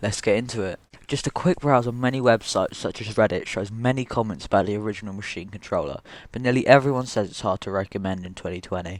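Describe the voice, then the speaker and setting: Speaking very fast with big swings in loudness, a man uses a fairly low voice with ordinary pitch variation. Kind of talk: product review to camera.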